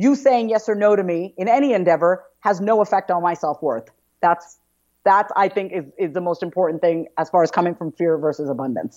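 A woman's medium-pitched, energetic voice with lively intonation, a fairly quick pace and a quiet background. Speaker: therapist and coach. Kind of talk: interview testimony.

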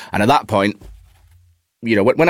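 A man is speaking. He has a Cheshire accent. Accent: northern English, Warrington. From Warrington, northern England. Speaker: actor. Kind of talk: casual chat.

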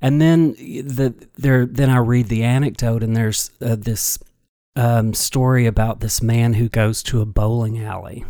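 The recording is very clean, with a silent background. A man at medium pitch speaks with a slight Kentucky accent, a dark, mellow tone and fairly even intonation. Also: fairly slow pace. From Kentucky, small town (Sturgis). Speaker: storyteller and dancer. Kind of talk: storytelling interview.

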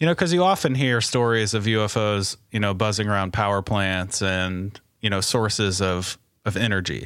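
Moderate pace and fairly low pitch from a man with an American accent, ordinary pitch variation, very even loudness, very clean recording with a silent background. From Indiana, US Midwest. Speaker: podcast co-host, guest. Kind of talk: casual chat.

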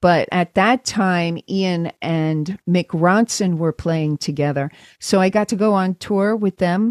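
A woman with an American accent speaks very slowly at a medium pitch with ordinary pitch variation, in a dry, close sound with no echo on a very clean recording with a silent background. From New York, Brooklyn. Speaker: chiropractor and sound healer. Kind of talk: interview.

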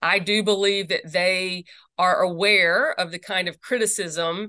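The woman has a bright, sharp tone at medium pitch with ordinary pitch variation. The background is quiet. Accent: slight Southern US. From Mississippi. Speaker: religious freedom lawyer and advocate. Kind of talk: interview conversation.

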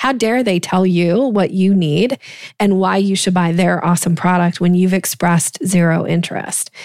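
Her voice is an unremarkable speaking voice, a woman at medium pitch with ordinary pitch variation and a moderate pace. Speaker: sales coach. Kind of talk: casual interview conversation.

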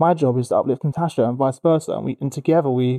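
Speaking very fast with a London accent, a man with a fairly high pitch and a dark, mellow tone keeps his intonation fairly even, heard in a dry, close sound with no echo. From East London. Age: 30s. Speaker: HR company CEO and podcast host. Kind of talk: casual interview. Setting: studio.

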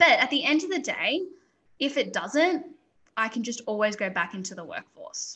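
A woman with an Australian accent speaks in a high pitch with a bright, sharp tone and very wide pitch swings. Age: 20s. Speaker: entrepreneur. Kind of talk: interview.

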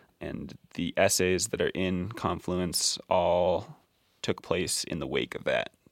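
Very slowly, a man speaks with an American accent. The sound is dry and close with no echo, in a very clean recording with a silent background. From Colorado. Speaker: journalist and author. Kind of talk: casual interview. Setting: outdoors on a back porch. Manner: hesitant with fillers.

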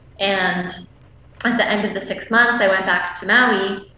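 A woman with a Canadian accent, medium in pitch, monotone and flat, at a moderate pace, amid noticeable background noise and audible room echo. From Canada. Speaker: massage therapist and women's coach. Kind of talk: casual interview chat. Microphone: internet connection delays.

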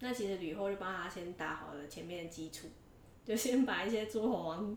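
At a moderate pace, a woman talks with medium pitch and ordinary pitch variation, with audible room echo and noticeable background noise. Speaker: history podcast co-host. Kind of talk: storytelling; casual chat. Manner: little vocal variation.

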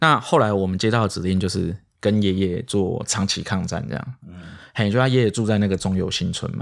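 On a very clean recording with a silent background, a man with a plain, everyday voice talks at a fairly quick pace, his fairly low pitch showing ordinary variation. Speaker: senior crime journalist. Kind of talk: casual podcast chat.

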